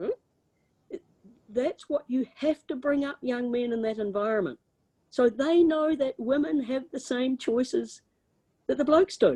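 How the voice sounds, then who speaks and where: This woman, in a New Zealand accent, has a high pitch and a dark, mellow tone, speaking at a fairly slow pace with lively intonation and long, frequent pauses. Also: dry, close sound with no echo. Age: 70s. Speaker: former politician. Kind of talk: lecture Q&A. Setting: video call. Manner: animated.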